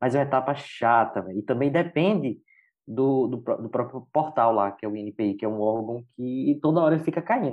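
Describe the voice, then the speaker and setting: A man talks in an unremarkable speaking voice, medium in pitch, moderate in pace, and ordinary in pitch variation. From Brazil, interior of Bahia (Jacobina). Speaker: brand designer and entrepreneur. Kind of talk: casual chat.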